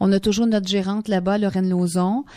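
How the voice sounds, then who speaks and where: A woman with a Quebec accent talks at a moderate pace, her pitch medium and her tone dark and mellow. Her intonation stays fairly even, and the very clean recording has a silent background and a dry, close sound with no echo. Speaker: singer. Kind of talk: radio interview. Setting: radio studio.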